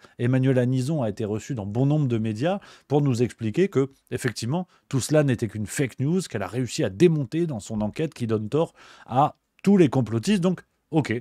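Against a quiet background, a man with a dark, mellow tone and medium pitch talks at a fairly quick pace with lively intonation, the sound dry with no echo. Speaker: political commentator / streamer; political commentator streamer. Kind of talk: book review on a live stream. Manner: casual, joking. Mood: ironic, sceptical. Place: home room. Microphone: studio mic.

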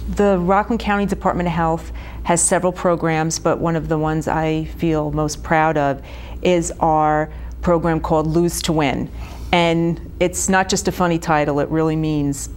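A woman speaks at a very deep, low pitch. Her intonation is monotone and flat, at a moderate pace. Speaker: guest. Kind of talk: interview answer. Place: studio.

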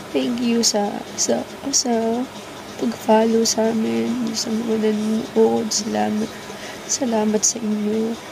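A woman at a very slow pace, her intonation fairly even, with noticeable background noise. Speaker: vlogger. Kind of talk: casual vlog chat, emotional storytelling. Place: home room. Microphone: phone near.

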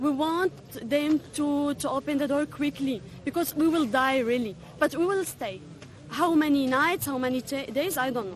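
The voice moves at a moderate pace. Noticeable background noise runs underneath. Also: woman. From Syria. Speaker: refugee and English teacher. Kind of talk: street interview. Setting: outdoors at a border camp. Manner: emphatic, urgent.

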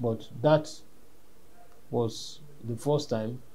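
A man's voice comes through somewhat breathy, with a dark, mellow tone and ordinary pitch variation. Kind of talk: interview answer. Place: home room.

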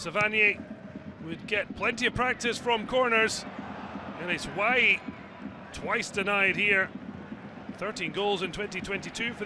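Amid noticeable background noise, a man with a high pitch speaks at a fairly slow pace with long, frequent pauses. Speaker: football highlights commentator. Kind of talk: scripted highlights voice-over narration, post-match recap read over match footage. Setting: studio voice-over. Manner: brisk, punchy clipped phrasing, dropping verbs like a headline; rising excitement at late drama and goals.

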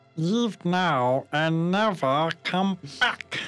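A put-on character voice at a middle pitch plays over faint music in the background. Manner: menacing, intimidating.

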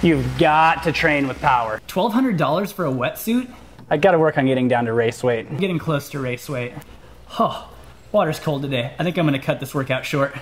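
A man's lively, up-and-down voice at a fairly quick pace over light background noise. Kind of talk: comedy sketch monologue.

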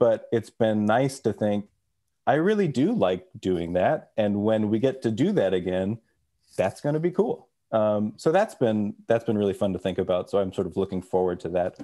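Over a quiet background, a man with an American accent speaks at a moderate pace, his fairly low, dark, mellow voice showing ordinary pitch variation. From Texas. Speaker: orchestral clarinetist; podcast guest or host. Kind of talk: casual chat. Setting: video call. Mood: relaxed, friendly. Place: home room. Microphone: video call.

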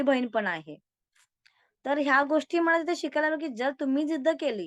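Against a quiet background, a woman's voice comes through with a dry, close sound with no echo and ordinary pitch variation. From Karad, Satara district, Maharashtra. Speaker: corporate employee and social worker. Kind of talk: interview.

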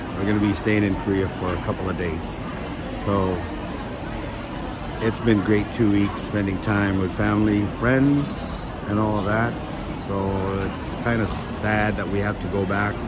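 Loud background noise surrounds a man speaking at a fairly slow pace. He leaves long, frequent pauses. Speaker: travel vlogger. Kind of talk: casual vlog chat. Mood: cheerful, a bit wistful. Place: station. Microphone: phone near.

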